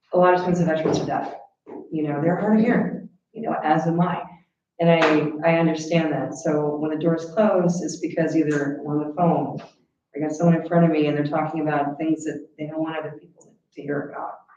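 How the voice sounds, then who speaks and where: Very deep and low in pitch, a woman speaks at a fairly quick pace with big swings in loudness and audible room echo. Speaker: county veterans affairs officer. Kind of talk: report to a county board meeting. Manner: animated.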